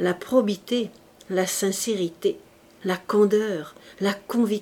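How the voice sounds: The speaker uses a natural reading voice. The text is delivered as read.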